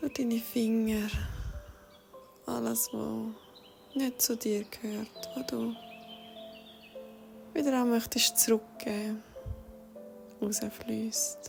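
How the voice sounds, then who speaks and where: A woman's fairly high voice in a Swiss accent with ordinary pitch variation, at a very slow pace with long, frequent pauses, over music in the background. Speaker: meditation guide. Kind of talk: guided meditation. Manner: soft-spoken, slow.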